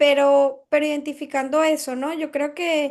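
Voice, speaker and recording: Against a quiet background, a woman speaks in a Caribbean Spanish accent. Her pace is fairly slow and her intonation fairly even. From Venezuela. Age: young. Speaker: entrepreneur, publisher. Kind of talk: interview.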